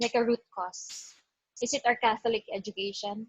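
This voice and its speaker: In a high voice, a woman speaks at a moderate pace. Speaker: band member, musician. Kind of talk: casual conversation.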